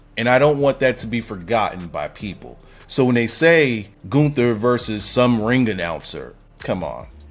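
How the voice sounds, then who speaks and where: With music in the background, a man speaks at a moderate pace in an animated tone and a medium pitch, his intonation lively and his loudness swinging widely. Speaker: wrestling commentator YouTuber. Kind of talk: casual commentary monologue.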